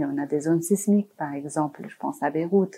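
A woman's fairly low voice carries ordinary pitch variation, and she keeps to a moderate pace. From Lebanon, Beirut. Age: 40s. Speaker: architect. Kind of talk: interview. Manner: halting.

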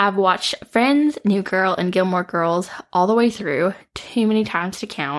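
An unremarkable speaking voice from a woman with an American accent, medium pitch, ordinary pitch variation and a moderate pace. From US Midwest, Metro Detroit. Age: 20s. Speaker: podcast host. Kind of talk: solo podcast monologue. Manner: warm, casual, with frequent laughs.

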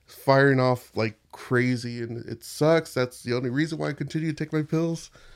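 At a moderate pace, a man talks in an ordinary speaking voice, his medium pitch varying in an ordinary way. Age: 30s. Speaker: podcast host and Twitch streamer. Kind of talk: casual chat. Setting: studio.

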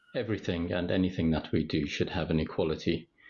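This man's pitch is very deep and low, with ordinary variation. He sounds somewhat breathy and moves at a fairly quick pace. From West Midlands, England (West Bromwich, Sandwell). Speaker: cardiologist and hospital executive. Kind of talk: podcast interview.

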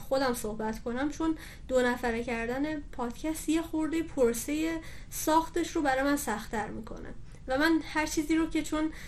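Here a woman speaks at a high pitch. Her pitch variation is ordinary and her pace is moderate. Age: 20s. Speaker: dentist and dental-materials grad student, podcaster. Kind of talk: interview.

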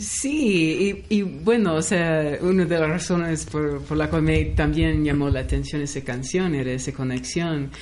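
A woman talks at a fairly slow pace with hardly any pauses. Audible room echo and noticeable background noise fill the recording. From US West Coast (Los Angeles). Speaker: anthropologist and music researcher. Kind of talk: radio interview.

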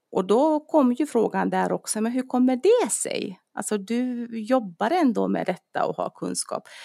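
Against a silent background in a very clean recording, a woman talks at a fairly slow pace with hardly any pauses. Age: 40s. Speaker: dentist and personal trainer. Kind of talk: casual chat.

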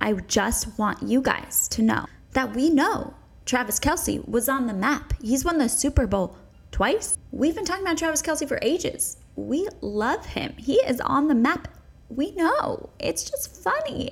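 In an animated tone, a woman speaks at a high pitch with very wide pitch swings. Noticeable background noise sits behind her. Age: 30s. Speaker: podcast host. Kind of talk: casual chat; podcast monologue.

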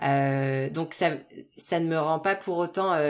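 An unremarkable speaking voice with ordinary pitch variation carries the clip. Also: woman. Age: 30s. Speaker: restaurant business consultant. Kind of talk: casual chat.

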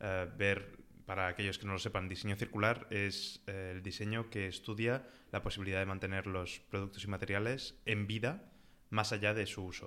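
The tone is bright and sharp, the intonation monotone and flat, at a moderate pace. The recording is very clean, with a silent background. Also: man, fairly low pitch for a man. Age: 20s. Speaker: service designer. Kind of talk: interview.

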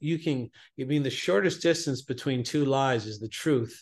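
A man talks at a moderate pace in a plain, everyday voice, fairly high in pitch with ordinary pitch variation. The background is quiet. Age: 50s. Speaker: self-sabotage coach. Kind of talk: interview.

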